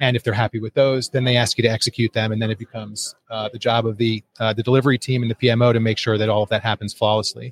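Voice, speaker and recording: Speaking very fast with hardly any pauses, a man with an American accent keeps a monotone, flat delivery at medium pitch, somewhat breathy, in a dry, close sound with no echo. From US Northeast, northeastern Connecticut. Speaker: company founder and CEO. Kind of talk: interview. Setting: live at a conference in Honolulu.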